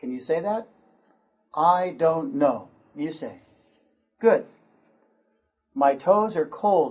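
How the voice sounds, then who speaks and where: At a very slow pace with long, frequent pauses, a man with an American accent talks at a high pitch, his voice swinging very widely in pitch and greatly in loudness. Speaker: pronunciation teacher. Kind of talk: lesson. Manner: slow, deliberate enunciation.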